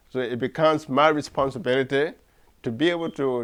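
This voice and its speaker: A man with a West African accent, fairly high in pitch, at a very fast pace. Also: quiet background. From Liberia. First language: Mandingo. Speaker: writer and cultural activist. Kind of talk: interview.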